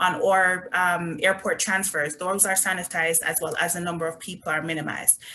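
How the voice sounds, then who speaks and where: A woman with a Jamaican accent, fairly low-pitched and monotone, with flat intonation, at a fairly quick pace with hardly any pauses. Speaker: resort company representative. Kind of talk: sales presentation.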